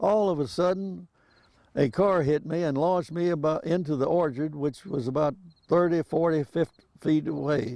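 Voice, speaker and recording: A man with an American accent, fairly high in pitch and dark and mellow in tone, at a moderate pace with ordinary pitch variation. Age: 80s+. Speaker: elderly man telling life story. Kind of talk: reading aloud memoir. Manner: halting, repeats words.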